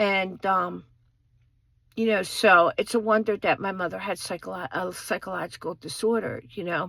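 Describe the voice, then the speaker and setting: In a very clean recording with a silent background, a woman with an American accent speaks at a medium pitch and a moderate pace, her tone bright and sharp, her intonation fairly even, with vocal fry. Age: 50s. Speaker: vlogger. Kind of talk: personal storytelling. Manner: halting, many fillers.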